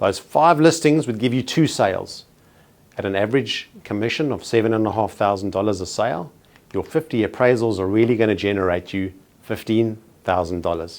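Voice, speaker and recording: With a South African accent, a man speaks at a fairly quick pace in a fairly low pitch. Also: lively intonation. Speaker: real estate trainer. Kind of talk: training presentation. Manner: formal.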